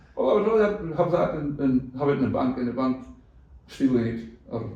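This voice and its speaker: With a Scottish accent, a man talks at a fairly quick pace with lively intonation, and audible room echo surrounds his voice. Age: 70s. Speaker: cattle farmer. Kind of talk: casual interview chat.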